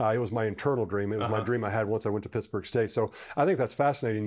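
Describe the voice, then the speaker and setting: Male speech with ordinary pitch variation. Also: quiet background. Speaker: podcast host, former NFL long snapper; interview host. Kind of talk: interview. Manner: repetitive, stammering. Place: home room. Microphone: lapel.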